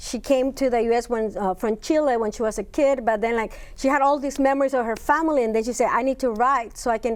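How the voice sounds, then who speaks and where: Very fast and with hardly any pauses, a woman talks in a high voice with fairly even intonation. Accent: Spanish. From Spanish-speaking country, moved to US at eleven. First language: Spanish. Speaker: university Spanish professor. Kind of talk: interview. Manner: halting, many fillers.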